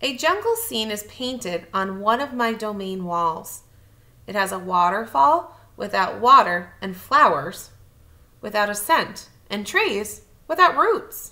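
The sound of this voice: In a room with audible echo, a woman speaks slowly at a medium pitch, with a bright, sharp tone and big pitch swings.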